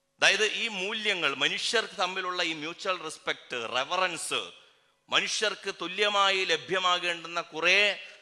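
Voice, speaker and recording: The man's high voice has a bright, sharp tone and fairly even intonation. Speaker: activist speaker. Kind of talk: political speech. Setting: public rally stage.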